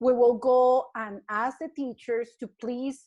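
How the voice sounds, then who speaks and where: Spoken at a fairly slow pace in a Spanish accent, the voice sits over a quiet background. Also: woman. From Colombia. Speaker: early childhood educator. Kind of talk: casual interview.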